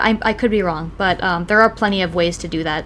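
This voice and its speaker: With a Wisconsin accent, a woman speaks in a bright, sharp tone at a medium pitch with ordinary pitch variation. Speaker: podcast co-host. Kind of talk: casual chat. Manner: hesitant, many fillers.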